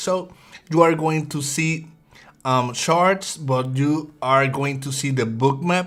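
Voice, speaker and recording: Speaking at a very slow pace, a man keeps a fairly even intonation at a fairly high pitch for a man. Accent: Puerto Rican. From Puerto Rico (Bayamón). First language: Spanish. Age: 30s. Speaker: day trader. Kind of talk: live trading stream. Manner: halting, repeats words.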